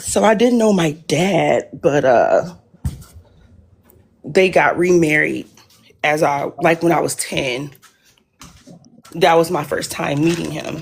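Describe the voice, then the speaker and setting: A woman speaks with an American accent and a fairly low pitch. Her pace is very slow. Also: ordinary pitch variation. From Detroit, US Midwest. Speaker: caller. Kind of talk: personal story on a live call-in show. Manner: halting.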